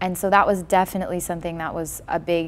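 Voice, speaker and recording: With a Californian accent, a woman talks at a moderate pace in a fairly low pitch. Her intonation is monotone and flat. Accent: General American (California). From Los Angeles, US. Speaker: documentary filmmaker and musician. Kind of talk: interview.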